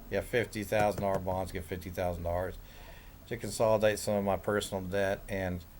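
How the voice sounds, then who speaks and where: With an American accent, a man speaks at a moderate pace. His very deep, low voice stays monotone and flat. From Kansas, Kansas City area. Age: 60s. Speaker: self-described day trader. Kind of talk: casual monologue. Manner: rambling, with filler words.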